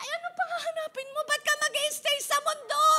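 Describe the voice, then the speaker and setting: Raised and projected, a woman's voice carries lively intonation. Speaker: pastor. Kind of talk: sermon. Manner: animated.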